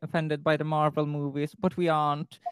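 A woman with a Swedish accent, the sound dry and close with no echo. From Sweden. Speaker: student teacher. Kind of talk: casual interview chat.

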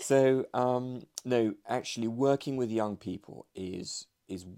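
On a very clean recording with a silent background, a man with a dark, mellow tone talks at a fairly slow pace. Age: 50s. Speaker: investment expert. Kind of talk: interview. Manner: halting, repeats words.

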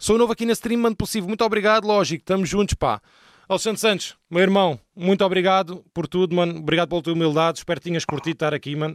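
A man's high voice at a very fast pace with ordinary pitch variation, dry and close with no echo, on a very clean recording with a silent background. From Portugal. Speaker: streamer and rapper. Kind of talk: casual chat. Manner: animated.

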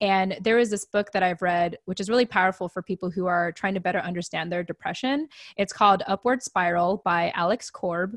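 A woman with a plain, everyday voice at medium pitch talks at a fairly quick pace with hardly any pauses and ordinary pitch variation, the sound dry and close with no echo over a quiet background. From US, raised in military family. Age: 30s. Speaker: podcast guest, veterans advocate. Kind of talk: casual interview.

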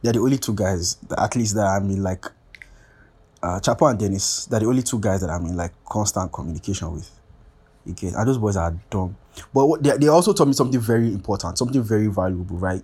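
Lively intonation marks this man's very fast speech. His fairly low voice has a dark, mellow tone and is somewhat breathy. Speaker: podcast host. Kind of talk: casual solo rambling monologue. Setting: self-recorded at home, paused and restarted. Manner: fast talker, says 'like' a lot; casual, slangy, rambling.

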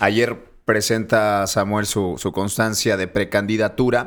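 On a very clean recording with a silent background, a man with a fairly low pitch uses fairly even intonation in an unremarkable speaking voice. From Monterrey, Mexico. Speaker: podcast co-host, political commentator. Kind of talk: casual chat. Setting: studio, filmed for video.

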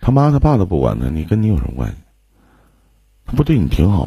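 The voice is dark and mellow in tone and somewhat breathy. It moves at a fairly quick pace with very wide pitch swings. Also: man. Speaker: livestream relationship advice host. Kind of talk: live call-in advice chat. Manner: casual, joking.

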